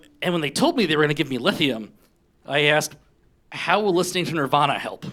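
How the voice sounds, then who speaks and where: Speaking at a very fast pace in an American accent, a man with a fairly high pitch has a bright, sharp tone, captured in a very clean recording with a silent background. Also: ordinary pitch variation. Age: 40s. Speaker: stand-up comedian. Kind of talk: stand-up. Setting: stage with audience.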